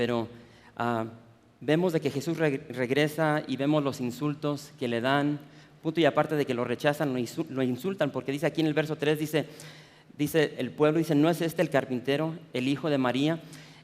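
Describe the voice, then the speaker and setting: Delivered with fairly even intonation, the speech keeps a moderate pace. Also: man, fairly high pitch for a man. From US Midwest (Chicago), Mexican-American family. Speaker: preacher. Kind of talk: sermon. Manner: halting, many repetitions and fillers.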